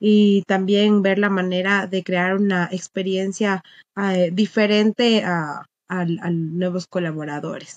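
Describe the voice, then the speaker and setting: Against a quiet background, a woman speaks with fairly even intonation in a dry sound with no echo. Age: 20s. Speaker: recruiter and dog owner; podcast guest. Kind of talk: casual interview chat. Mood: relaxed, smiling. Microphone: webcam.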